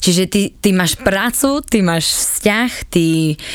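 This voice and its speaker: This woman has a plain, everyday voice. Her pitch is fairly low, with ordinary pitch variation. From eastern Slovakia, Svidník area. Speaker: former flight attendant. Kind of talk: casual interview.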